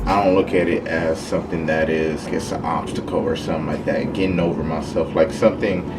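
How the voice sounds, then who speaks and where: Very deep and low-pitched, a man speaks at a very fast pace with hardly any pauses and ordinary pitch variation. Music plays in the background amid audible room echo. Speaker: fitness vlogger. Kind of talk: vlog monologue. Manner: casual.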